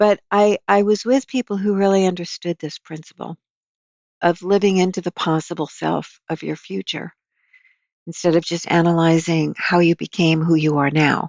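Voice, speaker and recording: A woman with an unremarkable speaking voice and a fairly low pitch talks at a moderate pace with ordinary pitch variation. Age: 60s. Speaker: psychotherapist and author. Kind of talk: interview conversation.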